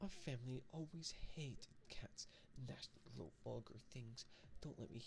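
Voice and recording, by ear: The speaker reads aloud in a natural voice.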